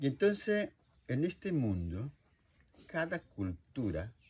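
At a very slow pace, a man with a medium pitch and a somewhat breathy voice moves through very wide pitch swings. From Colombia, Meta. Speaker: traditional healer. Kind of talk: interview answer.

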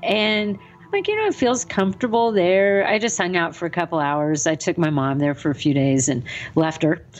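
Music plays behind a woman with a fairly low pitch, speaking at a moderate pace. Her intonation is lively and her loudness swings widely. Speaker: podcast co-host. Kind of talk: casual chat.

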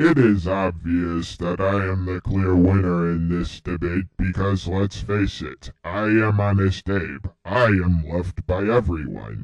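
Against a quiet background, a man uses a put-on character voice with a very deep, low pitch, speaking at a fairly slow pace with hardly any pauses. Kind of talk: pompous oratory with slang. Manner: boastful, grandiose.

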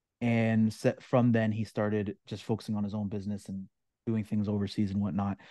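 A man speaks at a fairly quick pace in a fairly low pitch, with a dark, mellow tone and monotone, flat intonation. The sound is dry with no echo, over a quiet background. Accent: Canadian. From Ontario, Canada. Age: 30s. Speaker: online course creator. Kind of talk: interview. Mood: reflective storytelling. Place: home room. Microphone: video call.

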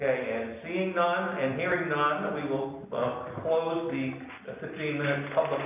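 Against noticeable background noise, a man talks at a fairly slow pace with ordinary pitch variation. Strong room echo fills the recording. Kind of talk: chairing a formal meeting. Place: meeting room. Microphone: camera far.

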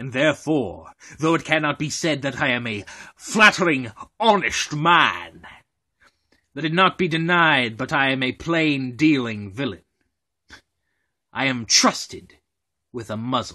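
A man's put-on character voice, fairly high in pitch, at a moderate pace with long, frequent pauses. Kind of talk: Shakespeare monologue performance.

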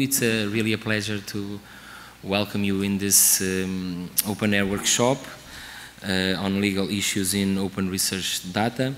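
Fairly low-pitched male voice at a fairly slow pace, over light background noise. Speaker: regional project coordinator. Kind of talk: welcome speech. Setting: stage with audience. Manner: halting. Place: hall. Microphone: podium.

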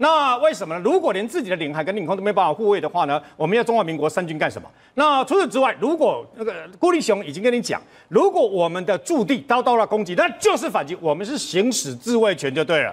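A man talks at a very fast pace in a high pitch for a man. His pitch swings very widely. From Taiwan. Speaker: military commentator. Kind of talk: TV talk show panel discussion.

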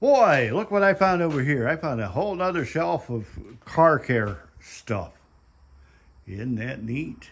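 With very wide pitch swings, a man talks at a fairly slow pace. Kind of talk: casual vlog chat. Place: garage. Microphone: phone near.

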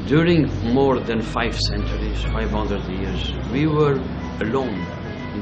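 Clear music sounds behind a man speaking at a moderate pace. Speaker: local guide. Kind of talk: interview answer. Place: cafe.

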